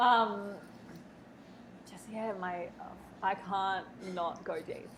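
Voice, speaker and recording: A woman with an Australian accent speaks very slowly at medium pitch with fairly even intonation. Audible room echo surrounds her voice. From Australia, Melbourne. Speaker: spiritual mentor. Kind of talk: casual interview chat. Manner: halting, many restarts.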